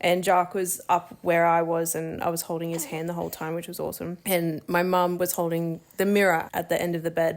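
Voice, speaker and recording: A woman speaks in an Australian accent at a fairly low pitch. She talks fairly quickly with hardly any pauses. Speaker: new mother vlogger. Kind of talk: casual chat. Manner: animated.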